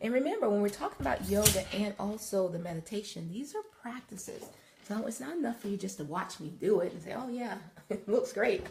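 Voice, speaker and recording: A woman with a medium pitch speaks at a fairly quick pace with lively intonation over noticeable background noise. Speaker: wellness and yoga instructor. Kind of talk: live broadcast, guided yoga instruction. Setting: live video broadcast. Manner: casual, chatty.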